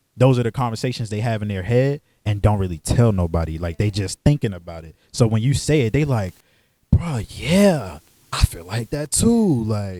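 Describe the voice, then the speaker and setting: On a very clean recording with a silent background and a dry, close sound with no echo, a man with an American accent speaks at a moderate pace in a dark, mellow tone, with fairly low pitch and lively intonation. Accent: DC speech, code-switches by setting. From US, Washington DC (Northeast). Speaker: podcast co-host. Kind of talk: casual chat. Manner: animated.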